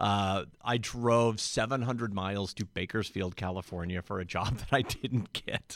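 In a very clean recording with a silent background, a man with a fairly low pitch uses a plain, everyday voice, speaking at a fairly slow pace with fairly even intonation and hardly any pauses. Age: 30s. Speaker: radio DJ. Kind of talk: casual chat.

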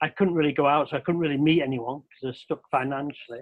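Here is a man with a Mancunian accent. His pitch sits fairly high. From Manchester, Old Trafford. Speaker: researcher. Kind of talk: casual chat.

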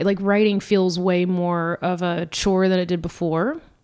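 A woman with an American accent talks at a fairly slow pace in a medium pitch. She has an ordinary speaking voice. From US South, Georgia. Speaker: comedian. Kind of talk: casual chat.

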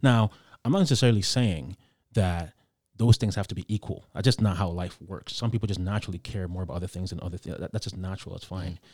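On a very clean recording with a silent background, a man speaks very fast in a very deep, low, somewhat breathy voice. His loudness swings widely while his pitch varies in an ordinary way. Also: dry, close sound with no echo. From Ghana. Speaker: blogger. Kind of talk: casual debate.

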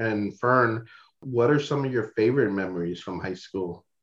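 A man speaks in a plain, everyday voice at a medium pitch with ordinary pitch variation. His pace is fairly slow, and the background is quiet. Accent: American. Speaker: podcast interviewer. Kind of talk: casual interview.

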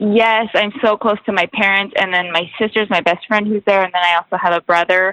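In an American accent, a woman talks at a medium pitch and a fairly quick pace, with very even loudness, fairly even intonation and hardly any pauses. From Washington State, US. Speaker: hockey wife and lifestyle blogger. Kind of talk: casual interview chat. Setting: remote call from a quiet corner of a store.

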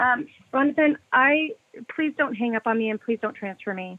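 At a moderate pace, a woman speaks with fairly high pitch and lively intonation in a dry, close sound with no echo.

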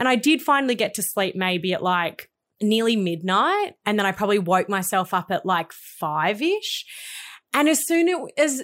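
A woman with an Australian accent and fairly high pitch, on a very clean recording with a silent background. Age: 30s. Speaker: podcast co-host. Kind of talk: casual chat. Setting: studio.

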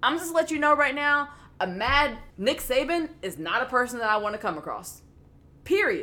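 Here is a woman with an American accent and a high pitch, speaking at a moderate pace in a raised, projected voice. Her tone is bright and sharp, and her pitch swings very widely. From US South, Memphis. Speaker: sports podcast co-host. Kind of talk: casual chat.

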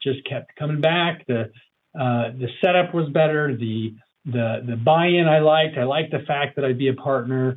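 Moving at a moderate speed, a man's fairly high voice is a normal speaking voice. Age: 40s. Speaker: financial advisor. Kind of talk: interview.

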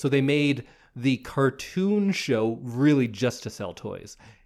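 Over a very clean recording with a silent background, a man speaks at a medium pitch. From Edmonton, Canada. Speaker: podcast co-host. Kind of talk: casual chat.

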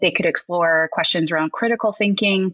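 A woman with a Canadian accent has a normal speaking voice, a fairly low pitch and lively intonation. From Alberta, Canada (near Red Deer). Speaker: educator at a learning company, former teacher. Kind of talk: casual interview.

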